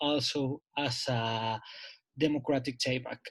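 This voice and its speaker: A man with a Spanish accent and ordinary pitch variation. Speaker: seminar participant. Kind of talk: academic Q&A question. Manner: halting.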